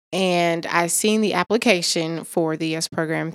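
A woman with an American accent is heard in a dry, close sound with no echo. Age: 20s. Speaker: college student and former foster youth. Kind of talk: interview. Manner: hesitant with frequent um.

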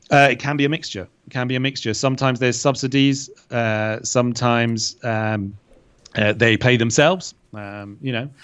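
A man with a British accent speaks at medium pitch and a moderate pace, his intonation fairly even. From UK. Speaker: English teacher and online creator. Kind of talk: interview. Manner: hesitant, many fillers and repetitions.

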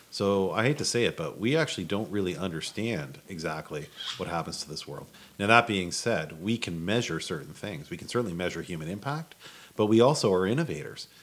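A man talks at a fairly quick pace in a fairly low pitch. It is an unremarkable speaking voice with lively intonation. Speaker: guest with space-program connections. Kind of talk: casual chat.

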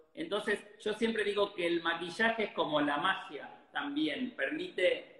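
This man uses a raised, projected voice. His pitch is high. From Argentina, Rosario. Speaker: photographer. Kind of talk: interview.

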